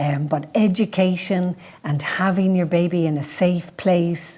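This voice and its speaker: Somewhat breathy and dark, mellow in tone, a woman speaks at a fairly low pitch and fairly slow pace with fairly even intonation. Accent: Dublin. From Ireland, Dublin. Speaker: midwife and podcast host. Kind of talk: presentation with Q&A.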